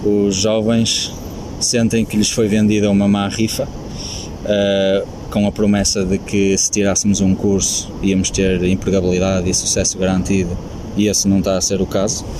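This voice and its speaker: Amid noticeable background noise and audible room echo, a man speaks at a fairly slow pace in a fairly low pitch, with monotone, flat intonation and very even loudness. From Portugal, Viana do Castelo. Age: 20s. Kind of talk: interview.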